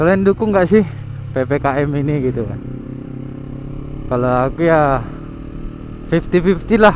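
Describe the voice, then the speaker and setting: Against noticeable background noise, a man with a fairly high voice uses lively intonation and takes long, frequent pauses. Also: moderate pace. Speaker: vlogger. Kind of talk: casual vlog monologue. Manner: halting.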